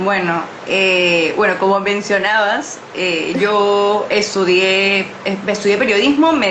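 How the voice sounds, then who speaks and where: Audible room echo and noticeable background noise around a woman's medium-pitched speech. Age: 20s. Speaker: journalist and mental health activist. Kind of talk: interview. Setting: livestream. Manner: halting, many fillers.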